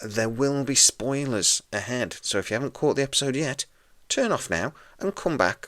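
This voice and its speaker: A man with a British accent talks quietly at a fairly quick pace and a medium pitch. The sound is dry and close, with no echo. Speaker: podcast host. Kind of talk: TV episode review.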